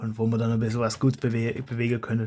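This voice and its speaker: Very fast in pace, a man talks with a medium pitch and a dark, mellow tone. The recording is very clean with a silent background. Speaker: YouTuber, foam blaster modder. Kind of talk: casual vlog monologue. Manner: halting, with many restarts.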